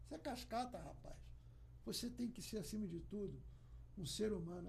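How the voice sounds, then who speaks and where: A man's voice carries audible room echo. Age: 60s. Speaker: workplace safety professional. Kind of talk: podcast interview. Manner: animated.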